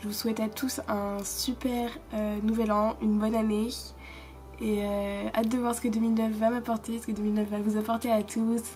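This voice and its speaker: Speaking at a moderate pace, a woman holds a fairly high pitch with monotone, flat intonation. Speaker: vlogger. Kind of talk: casual vlog monologue. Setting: filming herself for video. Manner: hesitant, many fillers.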